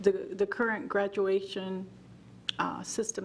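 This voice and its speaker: Noticeable background noise sits behind the speech. The delivery is fairly slow and monotone, with flat intonation. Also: woman. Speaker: school board member. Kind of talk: board meeting report. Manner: halting.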